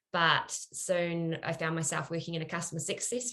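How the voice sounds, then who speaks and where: At a moderate pace, a woman with a New Zealand accent speaks at a fairly low pitch. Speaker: product marketer, former lawyer. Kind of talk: panel discussion.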